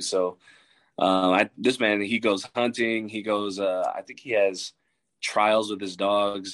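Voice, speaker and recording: The man's voice is fairly low and monotone, with flat intonation. The sound is dry and close with no echo, over a quiet background. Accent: American. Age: 20s. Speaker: college football coach. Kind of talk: casual chat.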